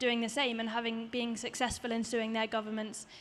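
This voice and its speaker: A woman talks in a high pitch. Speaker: environmental activist; panelist. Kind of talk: panel discussion. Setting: stage with audience. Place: stage. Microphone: handheld.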